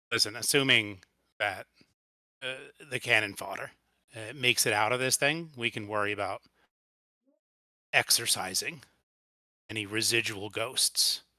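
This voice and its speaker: In a put-on character voice, a raspy man speaks at medium pitch and a moderate pace, with long, frequent pauses. The sound is dry and close, with no echo. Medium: actual play. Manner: dry, blunt, pragmatic.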